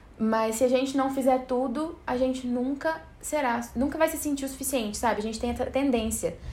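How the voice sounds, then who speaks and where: A woman with a high voice speaks at a fairly quick pace, with hardly any pauses and fairly even intonation. Audible room echo and noticeable background noise fill the recording. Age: 20s. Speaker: podcast host. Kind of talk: casual solo podcast monologue. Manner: informal, chatty with laughter.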